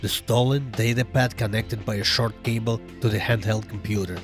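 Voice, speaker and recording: A man with a fairly low pitch and ordinary pitch variation, at a moderate pace, with music in the background. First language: non-native English speaker. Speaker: amateur narrator. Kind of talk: sci-fi story narration.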